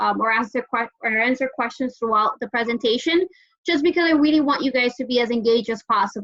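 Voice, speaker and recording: A woman talks at a fairly quick pace with an American accent. Her pitch is high. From Dominican Republic. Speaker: hotel sales manager. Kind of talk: sales presentation.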